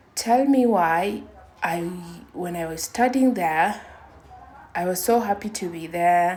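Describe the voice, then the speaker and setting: A woman at a very slow pace, with long, frequent pauses and audible room echo. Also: medium pitch for a woman, ordinary pitch variation. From Kenya. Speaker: vlogger. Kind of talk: personal testimony. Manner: halting.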